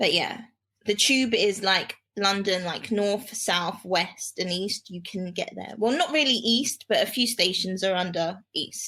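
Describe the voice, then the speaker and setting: A woman's fairly slow speech in a British accent, medium pitch, ordinary pitch variation. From England. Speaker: world traveler. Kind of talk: casual interview.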